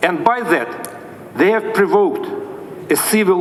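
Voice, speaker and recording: A man with a Russian accent, against noticeable background noise. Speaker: diplomat. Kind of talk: formal speech. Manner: formal.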